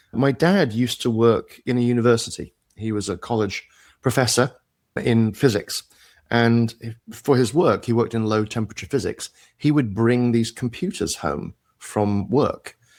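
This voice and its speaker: A man with a British accent speaks at medium pitch and a moderate pace, with ordinary pitch variation, on a very clean recording with a silent background. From UK. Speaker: tech executive and entrepreneur. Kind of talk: interview.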